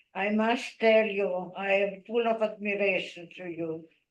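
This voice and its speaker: A woman at a very slow pace, with fairly even intonation. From Lviv, Ukraine (then Poland). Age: 90s. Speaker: Holocaust survivor. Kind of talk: testimony.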